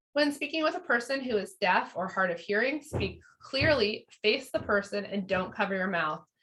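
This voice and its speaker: A woman speaks in a fairly high, bright and sharp voice, her pitch swinging very widely. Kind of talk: online training presentation. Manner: fast; filler-heavy, conversational.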